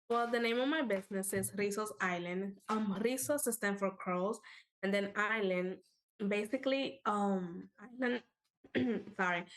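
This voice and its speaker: A Spanish accent at a fairly slow pace, with very even loudness and ordinary pitch variation. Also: woman, medium pitch for a woman. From Dominican Republic. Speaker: alumna entrepreneur. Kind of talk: livestream panel discussion.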